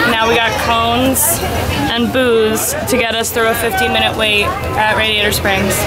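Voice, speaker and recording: A woman speaks over loud music in the background. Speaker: vlogger. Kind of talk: casual vlog chat. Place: street. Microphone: phone near.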